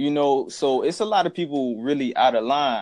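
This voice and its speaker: A man is speaking. His pitch is fairly high. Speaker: hip hop fan. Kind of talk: casual chat.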